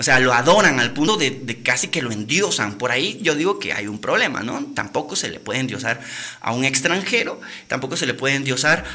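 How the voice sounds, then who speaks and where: A man speaks in an animated tone at a fairly high pitch. There is noticeable background noise. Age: 30s. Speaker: podcast host. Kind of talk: casual livestream talk.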